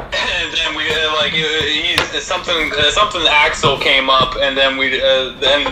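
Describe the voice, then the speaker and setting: The speech moves at a moderate pace. Loud background noise runs throughout. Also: man. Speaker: remote co-host. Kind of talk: casual banter. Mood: joking, playful. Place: kitchen. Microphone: video call.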